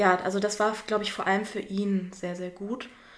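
A woman talks at a moderate pace. Her pitch is medium, and there is noticeable background noise. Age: 30s. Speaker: mother, former actress and theatre educator. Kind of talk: casual interview. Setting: in person with her baby.

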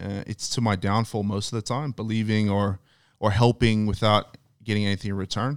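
Very clean and recorded against a silent background, a man's fairly low voice moves at a fairly quick pace. His intonation is monotone and flat. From Australia (Queensland, Thursday Island). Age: 30s. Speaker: former NFL player. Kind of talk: casual chat.

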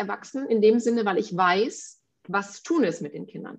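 Lively intonation marks this woman's speech. Her pitch sits fairly high. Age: 40s. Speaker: podcast co-host, mother. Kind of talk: casual chat.

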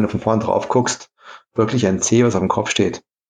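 An ordinary speaking voice delivers its words with fairly even intonation. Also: man. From Saarland, Germany (Saarlouis). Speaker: kite company co-founder. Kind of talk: interview.

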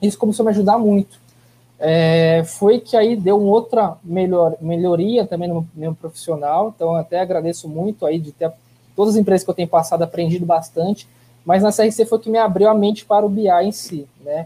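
A man's high voice with ordinary pitch variation at a moderate pace. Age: 30s. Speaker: business intelligence planning manager. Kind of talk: live webinar interview.

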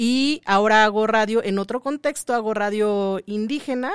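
In a very clean recording with a silent background and a dry, close sound with no echo, a woman uses an ordinary speaking voice at a fairly slow pace with ordinary pitch variation. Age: 30s. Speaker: radio host. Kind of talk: casual chat.

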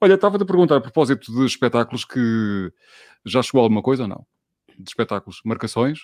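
Speaking at a very fast pace, a man with a medium pitch makes very wide pitch swings and big swings in loudness, in a dry, close sound with no echo. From Portugal, Alentejo roots. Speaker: radio host running a live online talk show. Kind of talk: live-streamed casual interview. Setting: live stream with video call guests.

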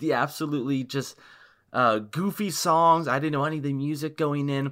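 A man's bright, sharp voice sits at a fairly high pitch, moving at a moderate pace with ordinary pitch variation. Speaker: podcast co-host. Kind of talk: casual chat.

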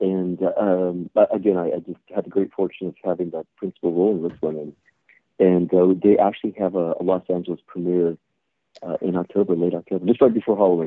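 Speaking at a very fast pace, a man with a very deep, low pitch keeps a monotone, flat intonation. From California, San Jose east side. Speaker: actor and martial artist. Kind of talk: interview. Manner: halting.

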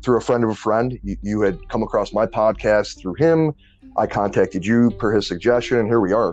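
Fairly quick and fairly low, this man's voice shows ordinary pitch variation in an unremarkable speaking voice. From New Orleans and Detroit. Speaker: podcast host. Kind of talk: casual interview.

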